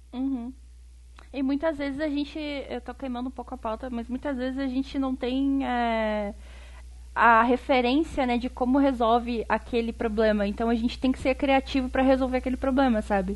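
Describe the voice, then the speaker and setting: A woman speaks at a high pitch and a moderate pace with monotone, flat intonation. The background is quiet. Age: 30s. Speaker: designer and podcaster. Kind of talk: casual chat.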